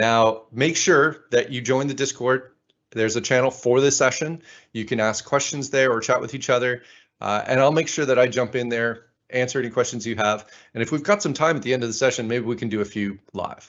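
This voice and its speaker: The pace here is fairly quick, with ordinary pitch variation. It is an ordinary speaking voice. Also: man, medium pitch for a man. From Canada, Ottawa. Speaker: conference speaker. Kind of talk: conference talk.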